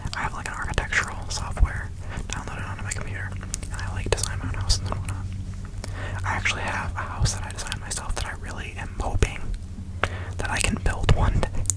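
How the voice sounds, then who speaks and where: Whispering comes very fast, with noticeable background noise behind it. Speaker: ASMR creator. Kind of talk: ASMR whisper ramble. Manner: whispered; casual, rambling.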